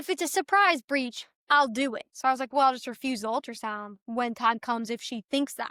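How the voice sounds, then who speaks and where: This woman's raised, projected voice has a bright, sharp tone and an animated delivery at a fairly quick pace. The recording is very clean with a silent background, and the sound is dry and close with no echo. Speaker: birth story guest on podcast. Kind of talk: casual chat, personal testimony. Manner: animated storytelling; halting, self-correcting.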